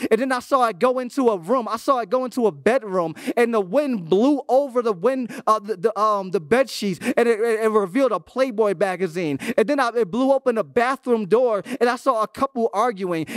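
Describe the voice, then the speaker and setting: A man's high-pitched voice at a fairly quick pace, with ordinary pitch variation, a dry sound with no echo and music in the background. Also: hardly any pauses. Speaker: guest youth preacher. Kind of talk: sermon. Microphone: handheld.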